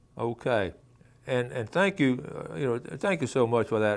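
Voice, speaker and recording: Intonation is lively, with vocal fry throughout. The recording is very clean, with a silent background. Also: man. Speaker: outdoors radio show host. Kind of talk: solo talk show. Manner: fast; halting, stammers when unprepared.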